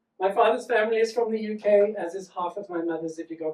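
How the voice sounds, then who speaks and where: A man with a South African accent talks at a fairly quick pace in a high voice with ordinary pitch variation. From South Africa, Johannesburg. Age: 40s. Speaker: comedian. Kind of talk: stand-up. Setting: stage with audience. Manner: animated.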